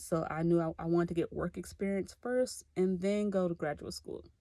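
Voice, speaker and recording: A woman with a Tennessee accent, fairly low pitch and a dark, mellow tone, at a fairly quick pace with fairly even intonation. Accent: US Southern (Tennessee). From Clarksville, Tennessee (US South). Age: 20s. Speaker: graduate student. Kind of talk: self-introduction video. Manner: casual, conversational.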